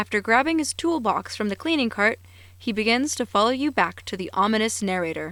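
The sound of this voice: Lively intonation in an unforced reading voice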